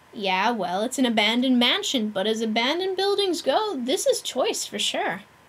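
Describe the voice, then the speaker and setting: Putting on a character voice, a woman speaks at a high pitch and a moderate pace, with very wide pitch swings. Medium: game stream. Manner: upbeat, slangy.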